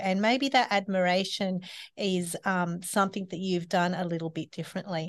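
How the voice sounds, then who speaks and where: A woman speaks with an Australian accent at medium pitch and a moderate pace. The background is quiet. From Australia (Sydney). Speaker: eco-living facilitator. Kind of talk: casual interview chat. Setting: podcast studio at a library.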